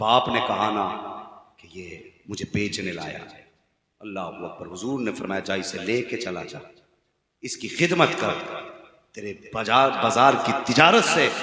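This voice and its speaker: A man at a medium pitch speaks with lively intonation. His tone is passionate. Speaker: Islamic preacher. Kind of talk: religious sermon (taqreer) delivered to a live audience. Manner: passionate, emphatic, preaching.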